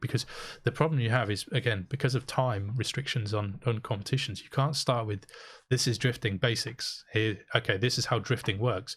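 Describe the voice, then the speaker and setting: The recording is very clean, with a silent background. A man speaks in a somewhat breathy voice with fairly even intonation. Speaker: podcast co-host. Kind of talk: casual chat. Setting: live podcast. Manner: fast.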